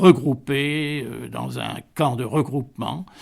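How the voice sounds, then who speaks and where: On a very clean recording with a silent background, a man speaks at a medium pitch with vocal fry and ordinary pitch variation. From Vietnam (Hanoi), French colonial family. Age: 80s+. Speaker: retiree recounting life story. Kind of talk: radio interview. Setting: at home. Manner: hesitant, many fillers.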